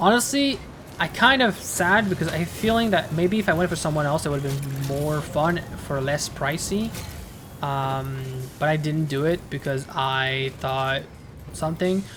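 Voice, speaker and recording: Very deep, low-pitched female voice with lively intonation at a moderate pace, music playing in the background. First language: French. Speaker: video game streamer. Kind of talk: casual gameplay commentary.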